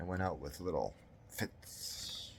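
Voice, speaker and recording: A man's very deep, low voice with vocal fry, on a very clean recording with a silent background. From Canada. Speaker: author reading his own story. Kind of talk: horror story reading.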